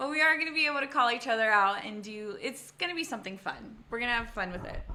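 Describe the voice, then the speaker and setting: The voice is loud, with lively intonation and a very fast pace. Noticeable background noise runs underneath. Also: woman, high pitch for a woman. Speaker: podcast host. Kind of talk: casual chat.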